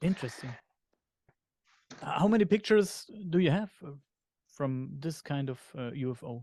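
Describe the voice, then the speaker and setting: Delivered in a German accent with a dark, mellow tone, the speech moves at a moderate pace with lively intonation, big swings in loudness and long, frequent pauses. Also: man, fairly high pitch for a man. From Germany. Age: 40s. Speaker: podcast host. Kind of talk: interview conversation. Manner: hesitant, many fillers.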